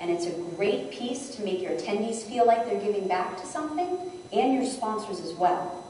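A woman at a moderate pace, medium in pitch with lively intonation, with light background noise and audible room echo. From New England. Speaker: conference presenter, event sales executive. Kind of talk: conference session talk with audience interaction. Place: hall. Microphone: camera far.

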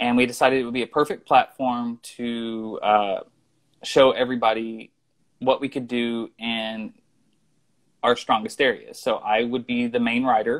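A man with a Southern US accent speaks at a moderate pace. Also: quiet background. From US Midwest/South, southeast Missouri. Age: 30s. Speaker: screenwriter; interview guest. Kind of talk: casual interview. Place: home room. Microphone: video call.

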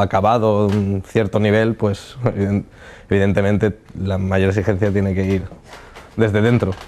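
A man's fairly low, monotone voice with flat intonation at a fairly slow pace. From Alicante, Spain. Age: 20s. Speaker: chef. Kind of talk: casual interview. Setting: studio. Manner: halting, with many fillers. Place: studio. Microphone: lapel.

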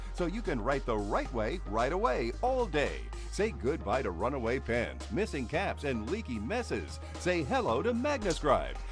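Over music in the background, a man talks in an upbeat, enthusiastic tone at a moderate pace with hardly any pauses. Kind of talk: infomercial voice-over.

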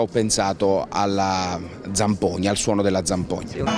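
There is clear music in the background as a man speaks, the sound dry with no echo. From Sicily. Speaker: stage actor and director. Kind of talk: interview answer. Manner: hesitant, many fillers. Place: street. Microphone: handheld.

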